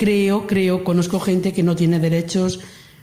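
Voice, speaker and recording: A woman speaks at a moderate pace with a monotone, flat intonation and a medium pitch. Audible room echo and noticeable background noise surround her voice. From Andalusia, Lucena (Córdoba). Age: 60s. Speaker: migrant worker giving testimony. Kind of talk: testimony.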